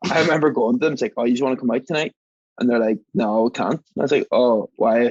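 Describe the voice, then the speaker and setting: Very fast, a man talks with an Irish accent in a dry, close sound with no echo. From Northern Ireland, Belfast. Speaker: mixologist and engineer. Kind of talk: casual chat. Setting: podcast recording. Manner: animated storytelling.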